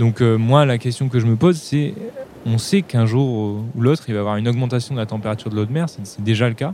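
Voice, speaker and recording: Dark and mellow in tone, a man talks fairly quickly at a medium pitch with ordinary pitch variation. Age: 20s. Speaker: microbiologist, student researcher. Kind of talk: recorded first-person account.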